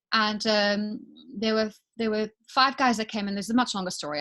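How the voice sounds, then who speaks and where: Bright and sharp in tone, the voice moves at a fairly quick pace with ordinary pitch variation on a very clean recording with a silent background. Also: woman. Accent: South African. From South Africa, Johannesburg. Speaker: business owner. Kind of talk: interview testimony.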